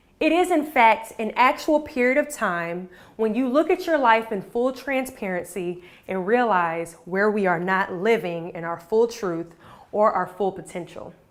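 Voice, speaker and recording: Speaking at a fairly slow pace, a woman uses a confident tone, a fairly high pitch and very wide pitch swings. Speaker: motivational speaker; Army veteran, former Miss USA. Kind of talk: motivational talk to an online audience. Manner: inspiring, direct, confident.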